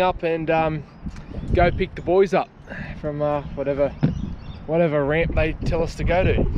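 Noticeable background noise surrounds a dry sound with no echo as a man speaks at a moderate pace with fairly even intonation. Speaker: fishing vlogger. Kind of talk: casual vlog chat. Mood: relaxed, casual. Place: boat. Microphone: phone near.

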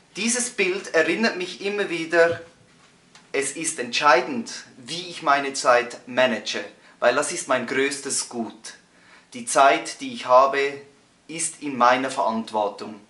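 Amid audible room echo, a man speaks at a very slow pace with long, frequent pauses. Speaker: coach or presenter. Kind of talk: motivational tutorial talk. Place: home room.

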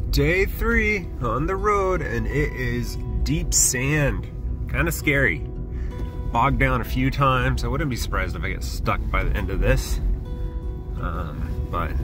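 A man speaks at a fairly slow pace, leaving long, frequent pauses. Clear music plays in the background, and the sound is dry with no echo. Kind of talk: casual vlog chat. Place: car. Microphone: phone near.

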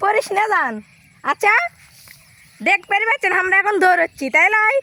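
Speaking in a raised, projected voice with a northern Bangladeshi accent and very wide pitch swings, the speaker has a dry, close sound with no echo, while noticeable background noise runs underneath. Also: woman. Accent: Bogura regional dialect. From Bangladesh, Bogura. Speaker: vlogger. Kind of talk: casual vlog. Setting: outdoors. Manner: animated.

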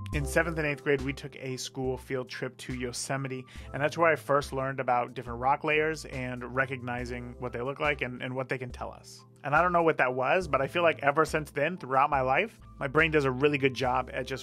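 With faint music in the background, a man talks at a fairly quick pace with ordinary pitch variation. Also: big swings in loudness. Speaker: photographer host. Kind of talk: tutorial. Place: studio. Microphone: studio mic.

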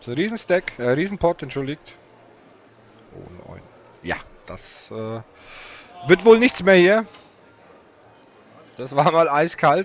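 A man speaks very slowly, with long, frequent pauses, lively intonation and big swings in loudness. The sound is dry with no echo. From Franconia, Germany (Nuremberg area); Germany. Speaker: poker commentator. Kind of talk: live commentary. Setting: commentator booth at live event. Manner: animated. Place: booth.

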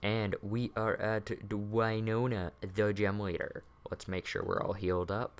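The pitch stays fairly level as a passage is read out in a natural voice.

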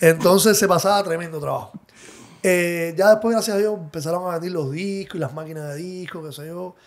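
Pitched high, a man talks at a fairly quick pace. His intonation is fairly even, but his loudness swings widely. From Cuba. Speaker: DJ and music producer. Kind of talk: interview.

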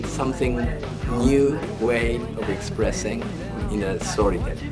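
Music plays in the background as a man speaks at a fairly slow pace. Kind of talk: interview answer. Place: hall. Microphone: phone near.

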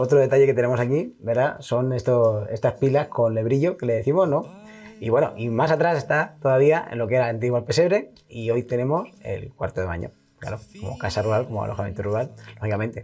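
Music plays in the background as a man at a medium pitch talks at a fairly quick pace with ordinary pitch variation. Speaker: regional language association president. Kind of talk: guided house tour for TV.

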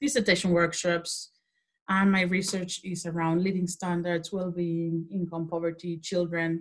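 Here is a woman with a Spanish accent. She keeps a moderate pace. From Mexico. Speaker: social policy lecturer. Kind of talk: interview.

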